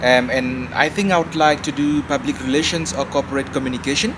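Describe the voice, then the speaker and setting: This man's pitch sits fairly high, with ordinary variation, and he speaks very fast. Background noise is noticeable. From Cameroon, French-speaking part. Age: 20s. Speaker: PhD student and German teacher. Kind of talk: interview conversation.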